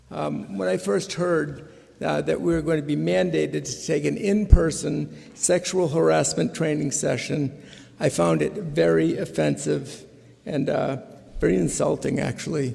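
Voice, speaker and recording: Speaking at a moderate pace, a man with a dark, mellow tone and vocal fry makes very wide pitch swings. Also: medium pitch for a man. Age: 60s. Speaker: state legislator. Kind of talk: floor speech. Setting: legislative chamber. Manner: halting, many fillers.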